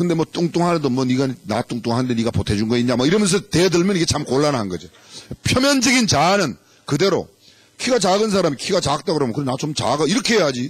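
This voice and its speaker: A somewhat breathy man talks at a very fast pace. His fairly high pitch swings very widely. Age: 60s. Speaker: pastor. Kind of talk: sermon. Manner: animated.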